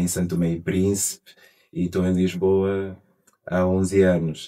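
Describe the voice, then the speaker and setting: Very deep and low in pitch, a man talks at a fairly slow pace with monotone, flat intonation. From Angola. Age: 40s. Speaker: actor and author. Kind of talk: interview monologue. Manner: halting, frequent repetitions.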